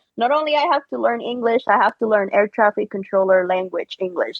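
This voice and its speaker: A woman at a medium pitch with a Spanish accent. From Puerto Rico. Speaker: podcast guest, military veteran. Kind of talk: casual interview chat.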